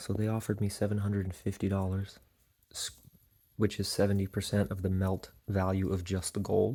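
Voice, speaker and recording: Soft-spoken and fairly low-pitched, a man talks at a moderate pace in a very clean recording with a silent background. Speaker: reseller vlogger. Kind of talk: casual vlog.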